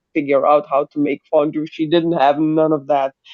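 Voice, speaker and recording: A speaker with a German accent talks at a moderate pace. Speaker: live stream co-host. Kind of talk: casual chat. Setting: live video stream. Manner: animated.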